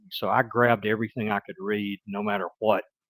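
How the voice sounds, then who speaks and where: A man with a Mississippi accent at a moderate pace, in a dry, close sound with no echo. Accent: Southern US (Mississippi). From US South, Mississippi. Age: 60s. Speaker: retired business executive, guest. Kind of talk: interview conversation. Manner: hesitant, with fillers and restarts.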